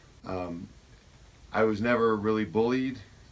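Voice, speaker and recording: At a moderate pace, a man delivers his lines. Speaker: school administrator. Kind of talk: interview. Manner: loud.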